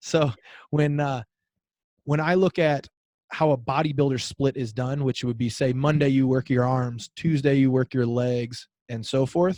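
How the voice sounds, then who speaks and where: Very clean recording with a silent background and a dry, close sound with no echo. A man talks at medium pitch in a dark, mellow tone with fairly even intonation. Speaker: fitness coach. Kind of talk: interview. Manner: fast.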